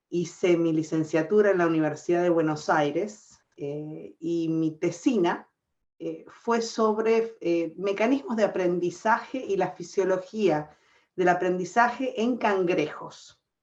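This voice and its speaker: A woman with an Argentine accent talks very slowly, her pitch fairly low with ordinary variation. The background is quiet. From Argentina. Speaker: scientist, professor. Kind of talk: panel discussion.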